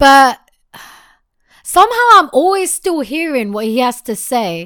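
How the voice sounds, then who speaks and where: In a British accent, a woman speaks in a high pitch with an animated tone and very wide pitch swings. The recording is very clean, with a silent background. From England. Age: 20s. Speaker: podcast co-host. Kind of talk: casual chat.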